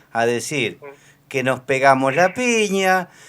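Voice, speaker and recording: The recording is very clean with a silent background. A man speaks very slowly at a fairly high pitch, his voice swinging very widely. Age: 60s. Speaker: caller. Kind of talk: radio interview.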